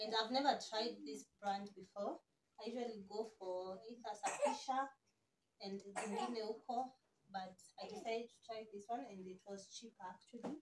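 A woman talks at a moderate pace and a medium pitch, her pitch varying in an ordinary way.

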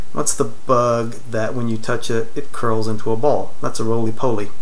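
In an American accent, a man speaks in a monotone with flat intonation. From North Carolina, USA. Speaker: accent tag participant. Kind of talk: accent tag word list and answers. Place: home room. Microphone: webcam.

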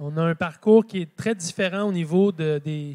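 The man's voice sits high in pitch. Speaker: speaker. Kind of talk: conference talk. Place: hall.

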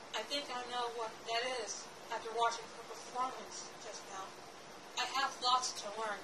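A woman talks at a moderate pace as background noise is noticeable. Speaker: amateur actress. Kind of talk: acted monologue with a spoken intro. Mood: earnest, somewhat nervous. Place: home room.

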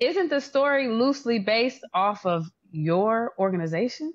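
A woman with a fairly high pitch speaks at a fairly slow pace, her pitch swinging very widely. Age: 40s. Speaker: podcast host and interviewer; podcast host, interviewer. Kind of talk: interview. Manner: warm and effusive. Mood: warm, admiring. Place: home room. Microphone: video call.

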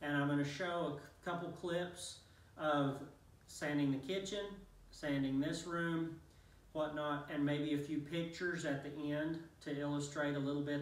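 A man speaks with fairly even intonation in a room with audible echo. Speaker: contractor reviewing a tool. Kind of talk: tutorial. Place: empty room. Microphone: camera far.

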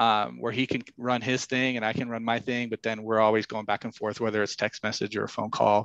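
In a dry sound with no echo and a quiet background, a man with an American accent speaks at medium pitch and a fairly quick pace, with hardly any pauses and monotone, flat intonation. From Idaho, US. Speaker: commercial real estate broker and business owner; podcast guest. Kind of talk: interview. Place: home room. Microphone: headset.

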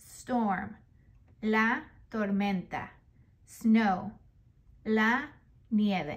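A woman speaks at a very slow pace in a fairly high, somewhat breathy voice. Long, frequent pauses break up her ordinary pitch variation. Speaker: children's book reader. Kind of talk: reading aloud.

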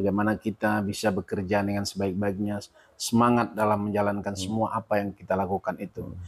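Against a quiet background, the speech races at a very fast pace with hardly any pauses and a monotone, flat intonation. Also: man, fairly low pitch for a man. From North Sumatra, Indonesia (Asahan/Batubara); North Sumatra, Indonesia. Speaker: local politician and former health worker; local politician. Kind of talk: interview. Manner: halting with many fillers. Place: home room. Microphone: lapel.

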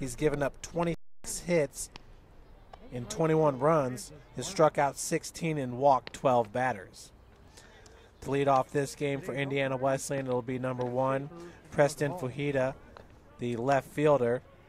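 At a fairly slow pace, a man talks with fairly even intonation and long, frequent pauses, the sound dry with no echo over light background noise. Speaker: play-by-play announcer. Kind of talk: sports commentary. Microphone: headset.

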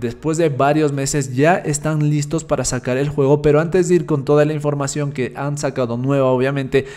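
A man's fairly high pitch with a slightly mellow tone and fairly even intonation. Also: moderate pace.

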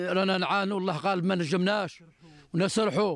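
The pace is moderate. It belongs to a man with a high voice. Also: dry sound with no echo. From Algeria. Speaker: livestock herder. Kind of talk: interview. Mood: worried, complaining about drought. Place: farm. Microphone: handheld.

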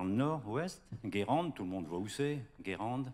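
The man's intonation is lively. He talks at a fairly slow pace. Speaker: journalist moderator. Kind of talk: moderated panel. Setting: stage with audience. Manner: hesitant. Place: hall. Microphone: handheld.

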